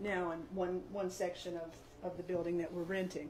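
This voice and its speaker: Noticeable background noise and audible room echo surround this recording. A woman with an American accent talks at a moderate pace and a medium pitch. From West Virginia, Eastern Panhandle (Grant County). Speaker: building owner and shop owner. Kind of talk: guided building tour. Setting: inside an old building, in-person tour group. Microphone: stopped using microphones after problems.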